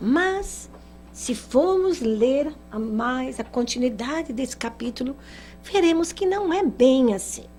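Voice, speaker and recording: With music in the background and audible room echo, a woman speaks very slowly at a high pitch, her voice swinging very widely in pitch. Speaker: spiritist lecturer. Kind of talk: lecture.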